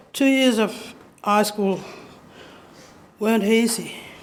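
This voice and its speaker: Audible room echo surrounds a woman speaking at a fairly high pitch. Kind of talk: public lecture. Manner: halting.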